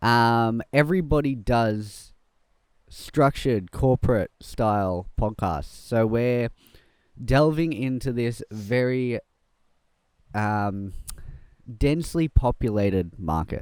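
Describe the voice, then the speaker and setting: Speaking very slowly with long, frequent pauses, a man with an Australian accent uses a medium pitch and lively intonation. The sound is dry and close, with no echo. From Melbourne, Australia. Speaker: podcast host and videographer. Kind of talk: casual chat. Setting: outdoors.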